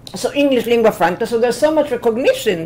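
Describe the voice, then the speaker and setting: Over noticeable background noise, a woman with an Israeli accent talks very fast at a fairly high pitch. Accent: Hebrew-accented English. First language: Hebrew. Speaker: professor. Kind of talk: lecture. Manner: energetic.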